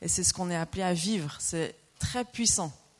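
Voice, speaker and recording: Pitched fairly low, a woman talks with ordinary pitch variation. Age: 40s. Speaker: preacher. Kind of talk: sermon. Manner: animated.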